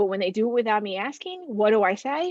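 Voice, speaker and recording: A woman with a normal speaking voice talks fairly quickly at a fairly high pitch with ordinary pitch variation, in a dry, close sound with no echo. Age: 40s. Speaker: counselor. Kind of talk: webinar presentation. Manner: filler-heavy, conversational.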